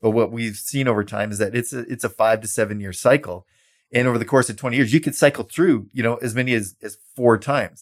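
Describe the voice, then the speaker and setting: A man's very fast, medium-pitched speech with ordinary pitch variation and big swings in loudness, on a very clean recording with a silent background. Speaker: real estate investment advisor and podcast co-host. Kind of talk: casual chat.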